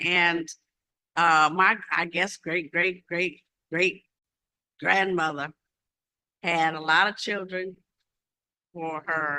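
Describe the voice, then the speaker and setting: With an American accent, a woman speaks very slowly with long, frequent pauses, her fairly low voice bright and sharp in tone and her intonation monotone and flat. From US Midwest. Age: 80s+. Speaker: convention speaker. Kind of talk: public speech.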